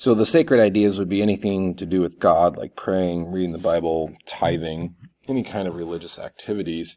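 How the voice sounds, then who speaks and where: In a very clean recording with a silent background, a man with a very deep, low pitch speaks at a fairly quick pace with fairly even intonation. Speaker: college instructor. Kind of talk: recorded video lecture. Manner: fast.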